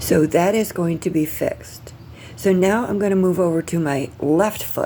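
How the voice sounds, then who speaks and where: Noticeable background noise sits behind a woman speaking at a fairly low pitch and moderate pace. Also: ordinary pitch variation. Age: 60s. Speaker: vlogger documenting pre-surgery. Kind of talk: casual video diary. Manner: halting, many fillers.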